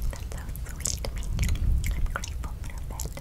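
A woman is whispering. She stays soft-spoken at a moderate pace. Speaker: vlogger. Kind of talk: casual vlog chat. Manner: soft close-up ASMR whisper. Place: home room. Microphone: webcam.

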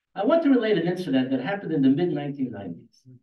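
Speech at a fairly quick pace, with lively intonation, is heard with audible room echo. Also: man. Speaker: debater, retired newspaper employee. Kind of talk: formal debate. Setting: stage with audience. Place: hall.

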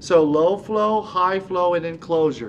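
A man talks at a fairly slow pace with ordinary pitch variation. Light background noise sits behind him. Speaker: respiratory therapy instructor. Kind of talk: lecture. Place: studio.

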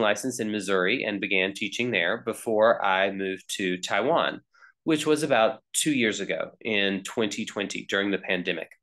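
A man talks at a moderate pace with hardly any pauses, his pitch fairly low and its variation ordinary. It is an ordinary speaking voice against a quiet background. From US South, North Carolina. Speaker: teacher. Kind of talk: self-introduction video. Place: home room. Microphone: webcam.

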